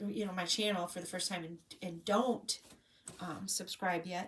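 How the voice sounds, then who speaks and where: Her pitch moves in an ordinary way as the woman speaks. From Illinois, US Midwest. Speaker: craft vlogger. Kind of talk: casual vlog monologue. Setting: home, filmed on a tablet. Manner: loud; sometimes mumbles.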